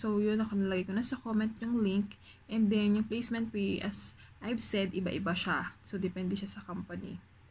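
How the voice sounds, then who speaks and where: On a very clean recording with a silent background, a woman speaks at a moderate pace and medium pitch, somewhat breathy, with fairly even intonation. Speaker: vlogger, overseas factory worker. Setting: dorm room at night. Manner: soft-spoken.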